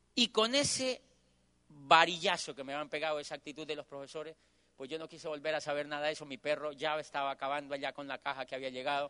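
At a very fast pace, a man talks in a fairly high, bright, sharp, animated voice, recorded dry and close with no echo. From Colombia. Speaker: motivational speaker. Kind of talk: motivational talk. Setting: stage with audience.

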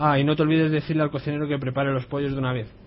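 A man speaks in a fairly high, somewhat breathy voice. His intonation stays fairly even. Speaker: community radio contributor. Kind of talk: reading aloud.

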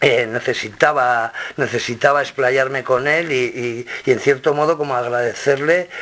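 Fairly even intonation from a man at medium pitch, moderate in speed, over noticeable background noise. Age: 50s. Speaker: rock musician. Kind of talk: interview. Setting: record label office. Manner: halting, many repetitions.

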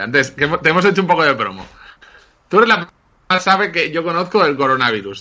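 A man talks at a moderate pace with lively intonation. His tone is bright and sharp. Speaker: podcast host. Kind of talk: casual chat.

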